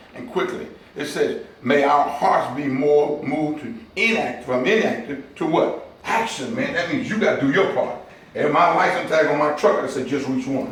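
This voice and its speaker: A man speaks with a fairly high pitch and an animated tone. Noticeable background noise and audible room echo fill the recording. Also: moderate pace. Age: 60s. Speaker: community outreach director. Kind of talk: motivational talk to a men's group. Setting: barber shop meeting with small audience. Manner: animated, preacher-like call and response.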